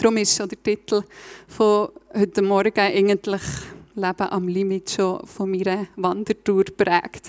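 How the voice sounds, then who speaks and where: Against noticeable background noise, a woman with a Swiss German accent speaks with monotone, flat intonation. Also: medium pitch for a woman, fairly slow pace, dry, close sound with no echo. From Switzerland, Bernese Oberland (Reichenbach). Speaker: lay preacher. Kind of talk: sermon.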